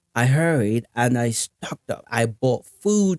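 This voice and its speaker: The speech has lively intonation, and the sound is dry and close with no echo. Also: man. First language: Nigerian Pidgin. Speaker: podcast host. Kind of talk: casual commentary reading articles aloud. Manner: halting, repeats words.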